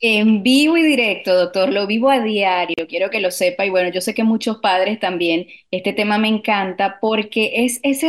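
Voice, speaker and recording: It is an ordinary speaking voice, delivered at a moderate pace with ordinary pitch variation. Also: woman. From Latin America. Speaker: radio producer. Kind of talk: radio talk show.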